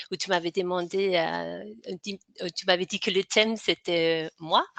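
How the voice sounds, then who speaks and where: With a slight Danish accent, a woman speaks at a fairly low pitch and fairly slow pace with ordinary pitch variation in a dry, close sound with no echo. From Denmark. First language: Danish (speaking French). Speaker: hypnotherapist and author. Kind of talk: interview. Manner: halting, many fillers and repetitions.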